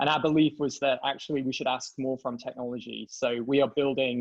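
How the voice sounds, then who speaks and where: Monotone, flat delivery from a man with a British accent, medium in pitch and fairly quick in pace. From England. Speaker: tech company CEO and co-founder. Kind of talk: interview.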